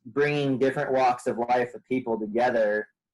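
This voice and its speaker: A man with an American accent talks in an ordinary speaking voice at medium pitch. His intonation stays fairly even. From Portland, Oregon and rural central California. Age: 30s. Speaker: outdoor guide and podcast guest. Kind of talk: casual interview chat.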